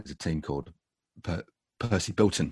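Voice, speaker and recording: Someone with a British accent talks at a very fast pace. The sound is dry and close with no echo, over a quiet background. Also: man. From UK. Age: 50s. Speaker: former professional cyclist. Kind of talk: interview. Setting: home podcast studio. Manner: halting, many fillers and repetitions.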